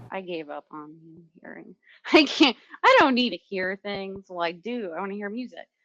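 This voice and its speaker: Heard dry and close with no echo, a woman speaks at a moderate pace and medium pitch, her intonation lively and her loudness swinging widely. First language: not English. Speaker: podcast co-host. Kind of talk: casual chat.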